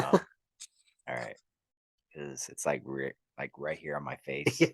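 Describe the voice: A man uses a put-on character voice, very deep and raspy, at a moderate pace with monotone, flat intonation. Loudness swings widely, and the sound is dry and close with no echo.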